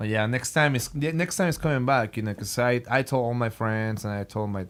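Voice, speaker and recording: With a Spanish accent, a man speaks with ordinary pitch variation. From Mexico. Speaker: guitarist. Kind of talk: casual chat. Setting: studio. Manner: halting.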